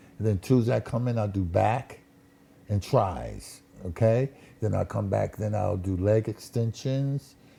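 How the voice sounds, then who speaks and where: With an American accent, a man speaks at a fairly slow pace in a dark, mellow and somewhat breathy tone. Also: fairly low pitch for a man, ordinary pitch variation. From Connecticut, Waterbury. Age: 60s. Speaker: musician, ex-Marine. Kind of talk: casual chat.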